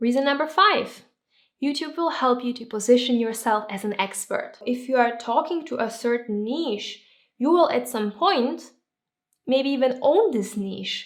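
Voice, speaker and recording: A woman's high-pitched voice with a non-native accent, ordinary pitch variation and a moderate pace. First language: not English. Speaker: YouTuber and entrepreneur. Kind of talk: vlog-style tips talk to camera.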